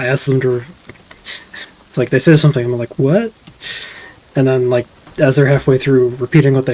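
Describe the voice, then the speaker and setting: Quietly, a man mumbles at medium pitch with fairly even intonation. Noticeable background noise is present. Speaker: vtuber streamer. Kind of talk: gameplay stream commentary. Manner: quiet, often mumbles; casual, halting.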